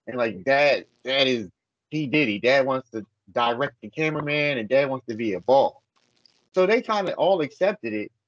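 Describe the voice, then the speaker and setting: Recorded with a dry, close sound and no echo, a man with a normal speaking voice and a fairly high pitch talks at a moderate pace with lively intonation. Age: 50s. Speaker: adult industry producer. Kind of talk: casual chat.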